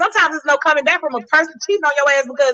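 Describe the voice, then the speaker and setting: In a raised, projected voice, a woman speaks with an animated tone and ordinary pitch variation. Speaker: podcast guest. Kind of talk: casual chat. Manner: loud.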